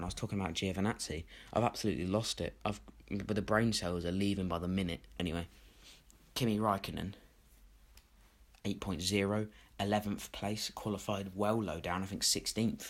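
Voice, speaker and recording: In a very clean recording with a silent background, a man with a British accent talks at a fairly quick pace in a fairly low voice of ordinary pitch variation, leaving long, frequent pauses. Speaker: F1 YouTuber. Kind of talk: opinion commentary. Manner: energetic.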